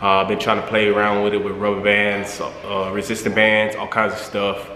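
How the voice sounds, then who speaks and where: Amid light background noise and audible room echo, a man talks at a moderate pace in a fairly low pitch. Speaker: gym-goer vlogger. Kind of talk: casual vlog chat. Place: gym. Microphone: phone near.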